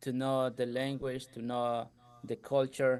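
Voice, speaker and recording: A man's medium-pitched voice with a slight Ecuadorian accent. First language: Spanish. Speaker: entrepreneur, contractor business owner. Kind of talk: podcast interview.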